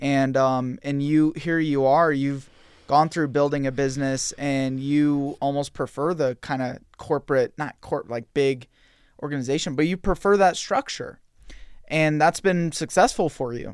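Here a man speaks in a plain, everyday voice, fairly high in pitch. He keeps a fairly slow pace and fairly even intonation. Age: young. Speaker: podcast host. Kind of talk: interview conversation.

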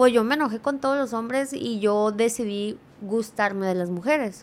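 A woman's fairly high-pitched, normal speaking voice at a moderate pace, with ordinary pitch variation. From California, US (Mexican-American). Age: 20s. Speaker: social media creator. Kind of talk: casual chat. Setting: studio.

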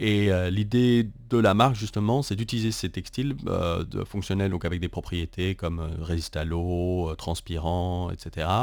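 A man speaks in a very deep, low pitch with ordinary pitch variation, at a fairly slow pace with hardly any pauses. The recording is very clean, with a silent background. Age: 30s. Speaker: fashion designer and entrepreneur. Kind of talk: interview. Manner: hesitant, many fillers.

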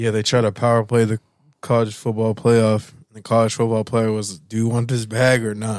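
In a very clean recording with a silent background, a man speaks in a monotone, flat way. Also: medium pitch for a man, moderate pace. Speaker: podcast co-host. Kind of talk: casual sports chat.

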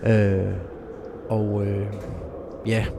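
A man's fairly low-pitched voice against noticeable background noise. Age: 30s. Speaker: avalanche survivor and speaker. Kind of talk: personal testimony. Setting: ski shop.

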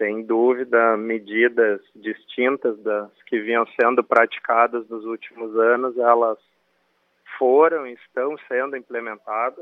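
At a very slow pace, a man speaks at a medium pitch in a flat monotone, with big swings in loudness. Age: 40s. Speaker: football club director. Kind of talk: radio interview. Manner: formal, measured.

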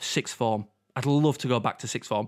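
In a very clean recording with a silent background, the speaker has a Yorkshire accent. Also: man. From Yorkshire, England. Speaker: podcast co-host. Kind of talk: casual chat.

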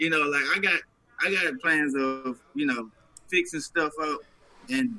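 Lively intonation from a man at a fairly high pitch, with noticeable background noise. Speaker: rapper. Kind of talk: casual chat.

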